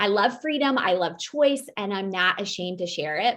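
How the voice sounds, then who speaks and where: An animated woman's voice in an American accent, bright and sharp in tone, on a very clean recording with a silent background. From US Midwest, Iowa. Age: 40s. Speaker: podcast co-host, military veteran with MS. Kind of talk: casual self-introduction monologue. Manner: loud, especially when passionate; animated, frequent um fillers.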